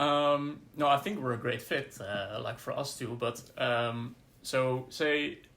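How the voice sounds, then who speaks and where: A man speaks very slowly with a Dutch accent and a medium pitch. His tone is bright and sharp, with ordinary pitch variation. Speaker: podcast co-host. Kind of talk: casual discussion. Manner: halting.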